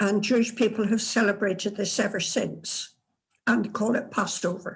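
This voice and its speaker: This woman has a Scottish accent and a medium-pitched, somewhat breathy voice. Her intonation stays fairly even, and her loudness is very even. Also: moderate pace. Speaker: tour participant. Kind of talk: casual answer in group session. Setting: video call.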